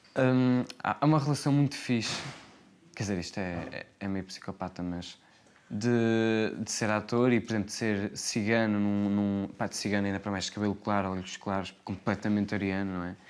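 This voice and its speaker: A man's fairly low voice keeps a fairly even intonation as he talks at a moderate speed. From Portugal, Porto. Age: 20s. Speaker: actor. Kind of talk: interview. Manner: hesitant, many fillers.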